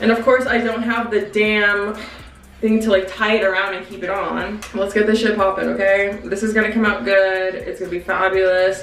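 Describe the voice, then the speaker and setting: With audible room echo and light background noise, a woman talks at a moderate pace with fairly even intonation. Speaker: YouTuber and mother. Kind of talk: casual chat. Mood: playful, gossipy, a bit annoyed. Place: bathroom.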